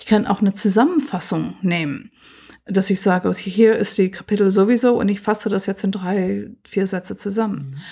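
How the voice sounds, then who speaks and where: A woman of medium pitch speaks at a moderate pace with ordinary pitch variation. Her tone is dark and mellow, and somewhat breathy. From US, Pennsylvania. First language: English (speaking German). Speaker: computer science professor. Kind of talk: interview.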